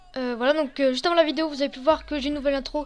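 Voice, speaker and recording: Her high-pitched voice keeps a fairly even intonation as the woman speaks. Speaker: gaming youtuber. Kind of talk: gameplay commentary. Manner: fast; halting.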